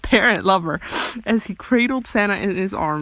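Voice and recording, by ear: Here the text is read aloud. The delivery sounds natural.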